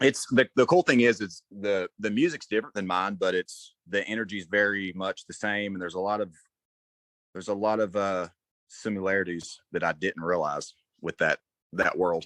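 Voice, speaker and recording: Speaking with a Southern US accent, a man keeps a moderate pace and ordinary pitch variation at a fairly low pitch, with a quiet background behind him. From north Georgia, US South. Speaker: rock singer. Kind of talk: interview.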